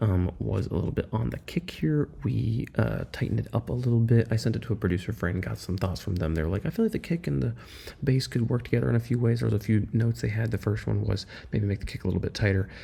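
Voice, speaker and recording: A soft-spoken voice with a dark, mellow tone and vocal fry races along at a very fast pace through very wide pitch swings. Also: man, fairly low pitch for a man. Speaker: music producer vlogger. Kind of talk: casual production vlog. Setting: at a friend's house at night.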